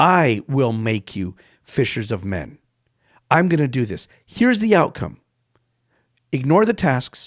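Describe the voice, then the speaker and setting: Speaking at a fairly slow pace with long, frequent pauses, a man lets his pitch swing very widely. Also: medium pitch for a man. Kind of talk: podcast sermon-style teaching. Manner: animated.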